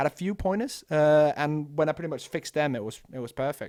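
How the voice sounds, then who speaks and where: A Danish accent with ordinary pitch variation. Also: man, very clean recording, silent background. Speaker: esports commentator. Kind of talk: casual vlog monologue. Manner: halting.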